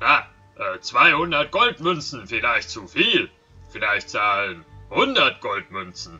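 A man does a put-on character voice, fairly high in pitch, at a very slow pace with long, frequent pauses. Faint music plays in the background. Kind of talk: gruff monster voice in game dialogue. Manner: menacing, dim-witted, greedy.

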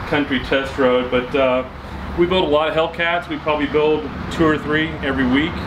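Over noticeable background noise, a man talks at a fairly quick pace with fairly even intonation. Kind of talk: presenter intro to a test drive. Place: street.

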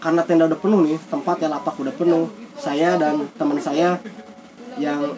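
A man speaks at a high pitch and fairly quick pace, with noticeable background noise behind him. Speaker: guest. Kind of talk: casual interview storytelling. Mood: animated ghost story. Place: home room. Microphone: camera far.

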